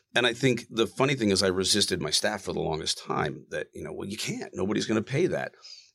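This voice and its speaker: Racing at a very fast pace with hardly any pauses, a man's medium-pitched voice shows vocal fry and very wide pitch swings. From Massachusetts, Plymouth County; moved to New Jersey in high school. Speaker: architect. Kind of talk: interview conversation. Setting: studio.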